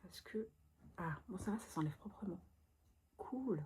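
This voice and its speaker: A woman whispering, soft-spoken and somewhat breathy, at a fairly slow pace. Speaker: vlogger. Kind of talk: casual talk to camera. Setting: bedroom at night, indoors. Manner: whispered, soft-spoken.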